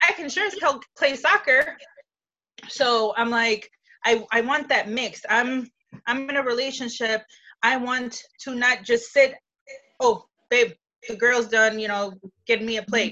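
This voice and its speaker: A woman's high voice in a Chicago accent, fairly slow, with ordinary pitch variation and long, frequent pauses. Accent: Chicago area American. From Chicago area, Illinois. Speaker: guest. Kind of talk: casual discussion.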